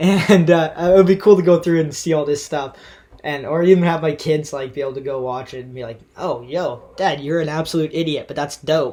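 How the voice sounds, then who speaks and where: A man speaks at a fairly quick pace in a normal speaking voice. His pitch varies in an ordinary way, while his loudness swings widely. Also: fairly high pitch for a man. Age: 20s. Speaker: podcast host and freeskier. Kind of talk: casual interview chat. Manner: rambling, many fillers and restarts.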